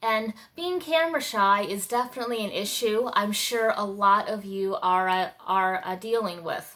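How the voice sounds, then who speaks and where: Bright, sharp tone with lively intonation and hardly any pauses. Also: woman, fairly high pitch for a woman, moderate pace. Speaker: mother, lifestyle vlogger. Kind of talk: casual talk to camera. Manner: hesitant, many fillers.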